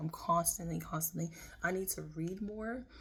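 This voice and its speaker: A woman speaks with a fairly low pitch. Her intonation stays fairly even. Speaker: tarot reader. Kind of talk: tarot reading. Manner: loud.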